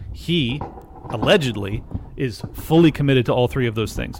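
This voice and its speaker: The voice belongs to a man. Noticeable noise fills the background. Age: 40s. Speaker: podcast host, retired mortgage fund operator. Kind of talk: casual chat. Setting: livestream.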